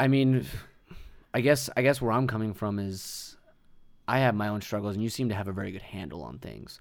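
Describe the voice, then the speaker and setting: A man with a fairly low voice talks fairly quickly, with long, frequent pauses and big swings in loudness. His pitch varies in an ordinary way, and the room echo is audible. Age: 20s. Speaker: podcast host and musician. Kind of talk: casual chat. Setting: home studio.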